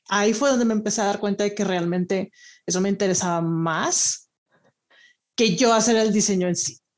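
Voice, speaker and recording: Over a silent background in a very clean recording, a woman talks in a normal speaking voice at medium pitch. Her pace is moderate and her pitch variation ordinary. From Monterrey, northern Mexico. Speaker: design researcher. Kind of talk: interview.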